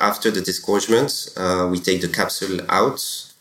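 There is noticeable background noise on this recording. A man talks at a moderate pace with a fairly low pitch. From France. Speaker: champagne export manager. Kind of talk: interview.

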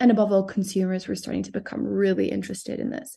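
A woman speaks at a medium pitch in a dark, mellow tone. Vocal fry runs through her voice. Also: quiet background. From Southern Africa and Geneva, Switzerland. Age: 30s. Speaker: tech startup founder. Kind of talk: podcast interview.

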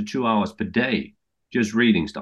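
A man speaks at a medium pitch with a Danish accent. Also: quiet background. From Denmark. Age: 50s. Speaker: TV executive. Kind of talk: interview answers. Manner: halting.

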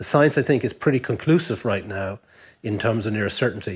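With an Irish accent, a man talks at a medium pitch and a fairly quick pace. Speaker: business lobby chief executive. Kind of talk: panel discussion.

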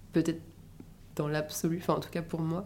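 A woman's fairly low-pitched voice with monotone, flat intonation. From Paris, France. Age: 20s. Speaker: podcast guest sharing personal story. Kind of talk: personal testimony in casual interview.

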